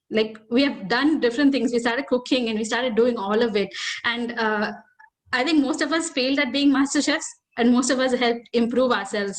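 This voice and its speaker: Over audible room echo, a woman speaks at a high pitch and a fairly quick pace, with ordinary pitch variation. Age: young. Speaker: guest preacher. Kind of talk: sermon. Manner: fast; hesitant, many fillers.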